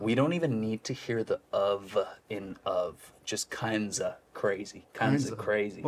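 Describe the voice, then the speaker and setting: Noticeable background noise sits under the recording. A man speaks fairly slowly. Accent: American. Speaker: accent coach. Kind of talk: coaching session, instructional. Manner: upbeat, encouraging.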